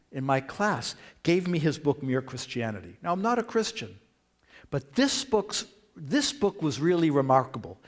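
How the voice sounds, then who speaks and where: A man with a Boston accent, at a moderate pace, with very wide pitch swings. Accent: Boston American. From US Northeast, Boston. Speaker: professor. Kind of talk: lecture. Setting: church with audience.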